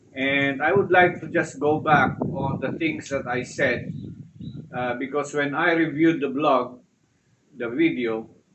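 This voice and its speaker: A man talks at a fairly slow pace with a fairly high pitch. His pitch varies in an ordinary way, and audible room echo is present. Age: 60s. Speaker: retired vlogger on low-carb diet. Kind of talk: casual vlog monologue. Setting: house terrace, outdoors under cover. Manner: halting, frequent uh fillers.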